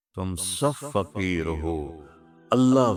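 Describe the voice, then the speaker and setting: A man speaks in a soft-spoken way. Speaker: Islamic scholar. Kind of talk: religious sermon. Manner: soft, soulful.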